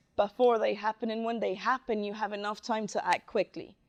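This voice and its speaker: A woman speaks at a moderate pace with a fairly high pitch. She has a Spanish accent, and the background is quiet. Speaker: DevOps specialist. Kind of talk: conference talk. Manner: halting.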